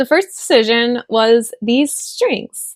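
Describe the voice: A woman's fairly high pitch in a dry, close sound with no echo.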